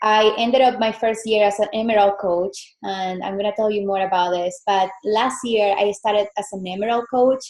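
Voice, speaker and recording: Speaking with a Venezuelan accent at a moderate pace, this voice keeps a fairly even intonation and hardly any pauses. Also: woman, medium pitch for a woman. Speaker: fitness business coach. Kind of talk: guest presentation on call. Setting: video call from home.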